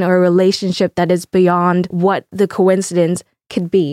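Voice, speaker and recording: The voice has a dark, mellow tone and a Vietnamese accent. The recording is very clean, dry and close, with a silent background and no echo. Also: woman. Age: 20s. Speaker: podcast co-host, university student. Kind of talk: casual chat. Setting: studio.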